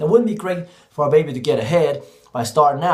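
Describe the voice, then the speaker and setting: An American-accented man uses a fairly high pitch and lively intonation. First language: Cantonese. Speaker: teacher. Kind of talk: vlog monologue.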